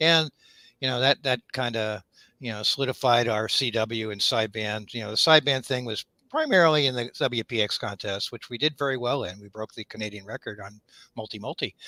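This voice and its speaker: A man talks at a fairly quick pace in a bright, sharp tone. The sound is dry and close with no echo, on a very clean recording with a silent background. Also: medium pitch for a man, ordinary pitch variation. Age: 70s. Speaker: amateur radio operator. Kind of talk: casual chat. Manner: halting.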